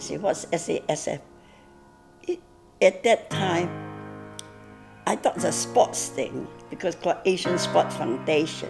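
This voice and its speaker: Over music in the background, a woman speaks at a moderate pace with big swings in loudness and long, frequent pauses. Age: 90s. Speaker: community fundraiser and volunteer. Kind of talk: interview answer.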